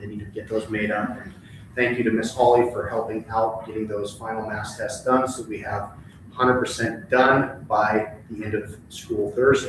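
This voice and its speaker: A man talks amid audible room echo, with background noise noticeable too. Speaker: elementary school principal. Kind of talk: board meeting report. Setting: school board meeting. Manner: fast.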